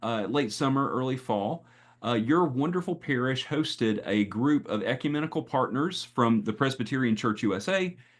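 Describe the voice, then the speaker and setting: A man with a Southern US accent at medium pitch and a moderate pace, lively in intonation, over a quiet background. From US Southeast, North Carolina. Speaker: pastor and speaker on AI and faith. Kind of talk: presentation. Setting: video call. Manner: halting, many fillers.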